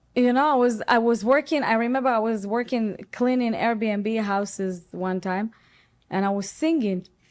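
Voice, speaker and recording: A woman with an Israeli accent at a moderate pace. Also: fairly high pitch for a woman, ordinary pitch variation. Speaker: actress. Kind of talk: interview. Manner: animated.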